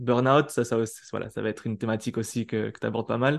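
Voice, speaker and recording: Words pour out of a man at a very fast pace. Behind him, it is quiet. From southwest France. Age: 20s. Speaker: entrepreneur, coach for freelancers. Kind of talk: casual interview.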